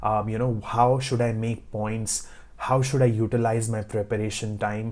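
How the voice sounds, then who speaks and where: Speaking in a flat monotone, a man has a medium pitch and a dark, mellow tone. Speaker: IELTS tutor. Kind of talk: tutorial. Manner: clear, not fast.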